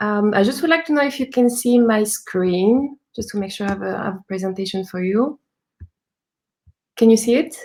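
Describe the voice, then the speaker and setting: Speaking in a French accent, a woman uses a fairly high pitch and a moderate pace. Her pitch variation is ordinary, while her loudness swings widely. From France. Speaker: UX designer and entrepreneur. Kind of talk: live talk interview.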